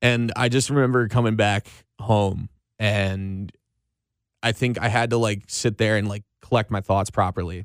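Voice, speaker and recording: A man's fairly low voice, an ordinary speaking voice, at a moderate pace with fairly even intonation, dry and close with no echo, in a very clean recording with a silent background. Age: 20s. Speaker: radio host. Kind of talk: casual chat. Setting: studio.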